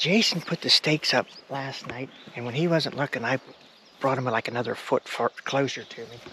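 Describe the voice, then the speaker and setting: An American-accented man talks at a fairly quick pace and medium pitch, with big swings in loudness. Noticeable background noise can be heard. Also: ordinary pitch variation. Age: 60s. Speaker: bowhunter. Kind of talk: casual chat. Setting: outdoors. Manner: excited.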